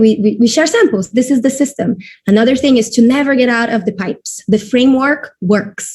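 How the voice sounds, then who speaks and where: A somewhat breathy woman at a fairly quick pace with ordinary pitch variation. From Brazil. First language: Portuguese. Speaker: network marketing distributor. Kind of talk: webinar presentation. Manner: halting.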